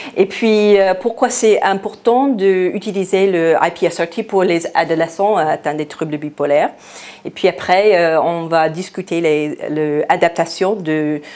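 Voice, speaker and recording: Noticeable background noise sits behind a woman with an American accent. Her medium-pitched voice has ordinary pitch variation and a very slow pace. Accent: American accent in French, non-native. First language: English (speaking French). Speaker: psychiatry researcher, invited lecturer. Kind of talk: lecture. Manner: halting, many hesitations.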